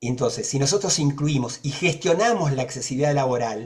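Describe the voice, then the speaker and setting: A man with a somewhat breathy, fairly high voice speaks at a moderate pace with ordinary pitch variation. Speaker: accessibility advocate. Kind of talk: panel discussion.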